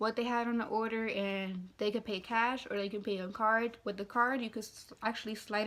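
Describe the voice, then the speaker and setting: A woman talks at a fairly quick pace with a fairly high pitch. Her intonation is monotone and flat. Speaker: fast-food worker. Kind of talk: casual talk to camera. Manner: rambling, casual.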